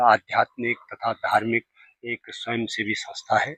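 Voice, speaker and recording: This man talks at a medium pitch. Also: dry, close sound with no echo. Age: 70s. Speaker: retired teacher and religious volunteer. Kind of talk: interview explanation.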